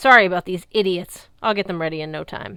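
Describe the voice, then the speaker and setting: A woman's put-on character voice at medium pitch, delivered at a fairly quick pace. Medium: read story. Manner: loud, bossy.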